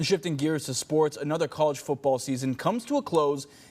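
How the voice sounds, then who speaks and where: A man with an American accent talks at a fairly quick pace. He has an unremarkable speaking voice, fairly high in pitch, with ordinary pitch variation. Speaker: broadcast news anchor and reporter. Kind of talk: TV news anchor delivery. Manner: polished, brisk headline reads.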